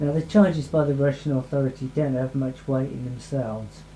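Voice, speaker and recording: Dark, mellow tone in a somewhat breathy male voice. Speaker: local political blogger. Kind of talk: documentary commentary. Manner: reading from notes.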